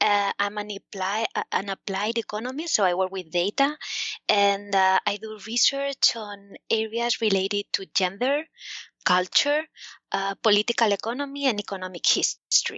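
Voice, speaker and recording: With a Spanish accent, a woman speaks at a fairly high pitch and a moderate pace, her pitch varying in an ordinary way. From Spain. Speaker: economics professor. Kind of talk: interview. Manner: hesitant, many fillers.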